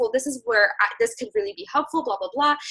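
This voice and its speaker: Raising and projecting her voice, a woman talks. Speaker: fitness business coach. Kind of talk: team call coaching talk. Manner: fast.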